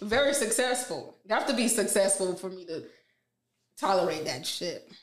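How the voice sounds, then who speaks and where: A woman speaks at a moderate pace with very wide pitch swings and big swings in loudness. Audible room echo surrounds her voice. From Queens, New York and Jamaica. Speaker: gamer and streamer. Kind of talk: casual interview chat.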